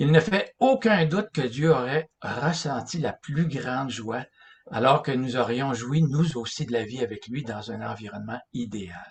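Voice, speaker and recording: A man at a medium pitch with lively intonation and a fairly slow pace. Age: 60s. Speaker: religious lecturer. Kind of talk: lecture. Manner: halting.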